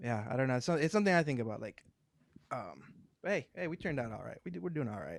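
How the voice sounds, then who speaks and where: A man with vocal fry speaks at a medium pitch. His pitch swings very widely as he talks very fast. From Mexico. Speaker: podcast host. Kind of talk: casual interview.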